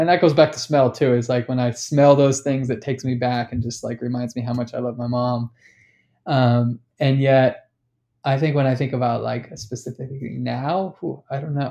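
Moderate pace from a man with an American accent, medium pitch, dark, mellow tone and fairly even intonation. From Sacramento, California, US. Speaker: artist and activist. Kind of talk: casual interview chat.

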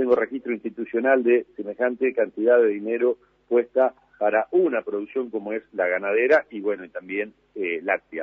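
A man talks at a moderate pace and medium pitch, with ordinary pitch variation. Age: 50s. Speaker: agriculture government official. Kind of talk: radio interview. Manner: halting.

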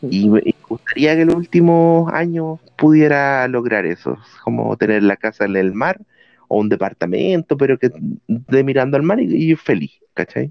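A man speaks in a Chilean accent at a medium pitch. His pace is fairly slow and his pitch swings are very wide. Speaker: podcast co-host. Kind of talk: casual chat. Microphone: bad audio with ghostly background voice.

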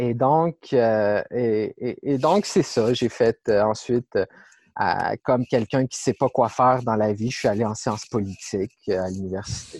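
Dry, close sound with no echo over a quiet background, and a man with an unremarkable speaking voice at medium pitch, fairly slow pace and ordinary pitch variation. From Quebec City region. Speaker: ecologist. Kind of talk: interview.

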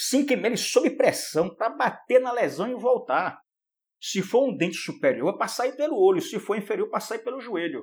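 At a moderate pace, a man speaks with an extremely high pitch and lively intonation. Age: 60s. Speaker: endodontist professor. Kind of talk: casual chat. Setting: video call.

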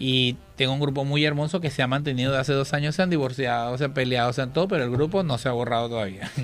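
A man at a medium pitch, very fast, with hardly any pauses, very even loudness and ordinary pitch variation. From Venezuela. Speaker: drag queen performer. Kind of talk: radio interview. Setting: radio studio.

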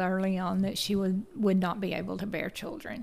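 In a Tennessee accent, a woman talks at a moderate pace with a medium pitch and fairly even intonation. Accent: US Southern (Tennessee). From Chattanooga, Tennessee. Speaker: teacher. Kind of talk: interview.

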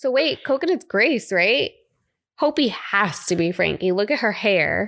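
Very cleanly recorded over a silent background, a woman with an American accent speaks fairly slowly in a fairly high voice, with very wide pitch swings and very even loudness. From South Florida. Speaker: podcast co-host. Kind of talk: casual chat.

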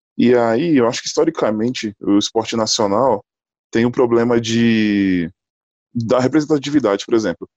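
In a dry, close sound with no echo, a man with an unremarkable speaking voice speaks at a moderate pace and medium pitch, with ordinary pitch variation and very even loudness. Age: 30s. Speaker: basketball player and civil engineer. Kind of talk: casual discussion.

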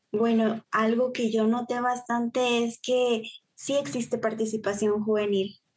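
A woman with a fairly high pitch, flat monotone intonation, very even loudness and a fairly slow pace. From Guatemala, Huehuetenango. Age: 20s. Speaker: university student and youth volunteer. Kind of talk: interview.

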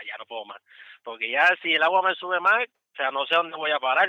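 Ordinary pitch variation and a moderate speed from a male speaker. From Puerto Rico. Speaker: truck driver. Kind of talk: interview.

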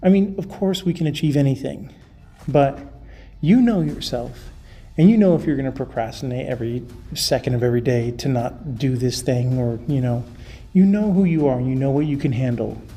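The speaker keeps a fairly quick pace. Background music accompanies the talking. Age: 40s. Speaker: podcast host. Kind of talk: motivational monologue.

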